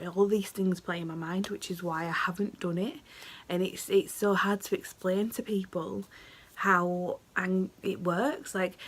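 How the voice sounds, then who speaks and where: In a British accent, the speaker talks at a fairly slow pace with fairly even intonation. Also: woman, medium pitch for a woman. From United Kingdom. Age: 20s. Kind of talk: casual talk to camera.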